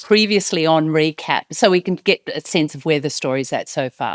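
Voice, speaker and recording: In a very clean recording with a silent background and a dry, close sound with no echo, a woman speaks in an Australian accent. Her pitch is fairly low, her pace moderate and her intonation lively. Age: 30s. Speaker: podcast host. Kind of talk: personal storytelling.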